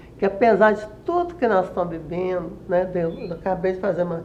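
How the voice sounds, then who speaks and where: Noticeable background noise and audible room echo accompany speech delivered at a moderate pace. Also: woman. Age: 80s+. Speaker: retired journalist and writer. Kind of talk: interview. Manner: halting, many self-corrections.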